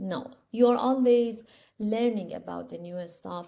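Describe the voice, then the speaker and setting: With an Iranian accent, a woman speaks at a moderate pace in a dark, mellow tone. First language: Persian. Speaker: instructor. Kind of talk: lecture. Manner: hesitant, many fillers.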